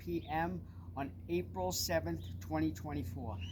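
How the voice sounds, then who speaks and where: The speaker talks at a fairly slow pace with a Long Island accent and vocal fry. The pitch swings very widely. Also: man. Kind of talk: personal testimony.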